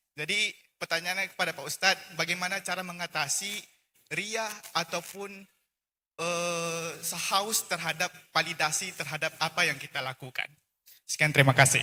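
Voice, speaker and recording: A man speaks at a moderate pace in a high pitch with a bright, sharp tone. His intonation stays fairly even. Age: young. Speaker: college student. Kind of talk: audience question. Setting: hall, at a microphone. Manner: halting, many fillers.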